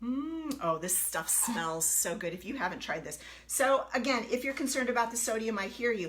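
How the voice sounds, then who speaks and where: A woman with a fairly high pitch talks at a moderate pace in an animated tone, her pitch swinging very widely. Noticeable background noise and audible room echo surround her. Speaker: health coach. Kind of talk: live cooking demo.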